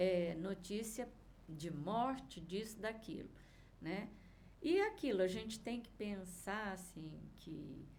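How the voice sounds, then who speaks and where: A woman speaks at a very slow pace with long, frequent pauses and ordinary pitch variation, her voice carrying audible room echo. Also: medium pitch for a woman. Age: 60s. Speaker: vibrational therapist. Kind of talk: interview chat.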